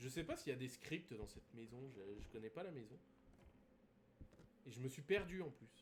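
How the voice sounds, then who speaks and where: A man speaks in a somewhat breathy voice with lively intonation. His loudness swings widely, and he takes long, frequent pauses. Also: medium pitch for a man, moderate pace. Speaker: gaming streamer. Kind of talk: live gameplay stream commentary. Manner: hesitant, many fillers.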